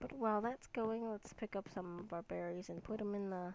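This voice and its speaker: A woman mumbles at a moderate pace with ordinary pitch variation. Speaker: gaming YouTuber. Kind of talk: let's play commentary. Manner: mumbling; hesitant, many fillers.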